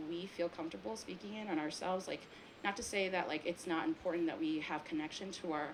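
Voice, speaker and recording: Over noticeable background noise, a woman talks at a very fast pace with a fairly low pitch and lively intonation. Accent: American. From US, Taiwanese American family. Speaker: filmmaker on a panel. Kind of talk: panel discussion. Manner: casual, many fillers.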